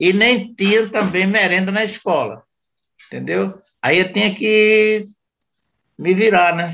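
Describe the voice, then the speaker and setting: Speaking very slowly with long, frequent pauses, a man with a high voice keeps his intonation fairly even. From Pernambuco, Brazil (Jaboatão). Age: 70s. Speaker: grandfather of the host. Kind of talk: casual family chat.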